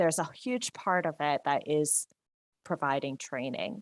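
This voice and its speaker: A woman speaks in a New Jersey accent. The sound is dry and close with no echo. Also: very clean recording, silent background. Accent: New Jersey American. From US, New Jersey. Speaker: software consultant and trainer. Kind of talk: presentation.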